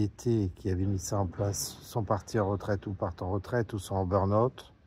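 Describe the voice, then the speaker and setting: A man's fairly low, somewhat breathy voice with a dark, mellow tone. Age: 60s. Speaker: patient association president. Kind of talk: open address to a politician. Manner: hesitant, many fillers.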